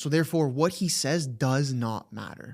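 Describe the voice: A man speaks at a moderate pace and medium pitch with ordinary pitch variation on a very clean recording with a silent background. His slightly mellow voice has a slightly husky edge and vocal fry.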